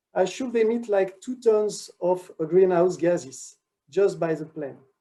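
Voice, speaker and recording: Speaking fairly slowly in a French accent, a man has a high pitch with ordinary variation and a dark, mellow tone. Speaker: research director. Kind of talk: conference talk. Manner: halting.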